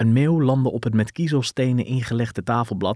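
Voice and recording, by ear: The speaker is reading aloud in a natural voice with ordinary pitch variation.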